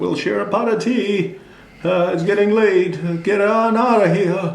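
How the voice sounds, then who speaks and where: A man puts on a character voice pitched high for a man. He speaks fairly slowly, with a slight echo. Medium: read story. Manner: gentle, warm.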